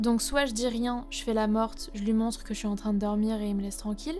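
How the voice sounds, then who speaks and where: Fairly high-pitched woman at a moderate pace with ordinary pitch variation, music in the background. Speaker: podcast host. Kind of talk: podcast narration.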